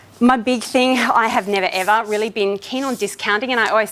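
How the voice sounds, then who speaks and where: A woman speaks in a fairly high pitch with an animated tone. Her pitch variation is ordinary. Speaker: direct sales consultant giving a training talk. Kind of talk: training talk. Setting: room with audience. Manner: fast.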